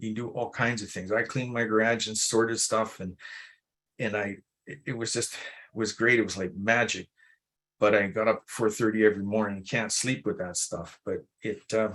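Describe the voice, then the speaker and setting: Against a quiet background, a man with an ordinary speaking voice talks at a moderate pace and fairly low pitch, his intonation fairly even but his loudness swinging widely. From Alberta, Canada. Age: 60s. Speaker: melanoma patient telling his story. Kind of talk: personal patient story told live at a webinar. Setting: live webinar presentation.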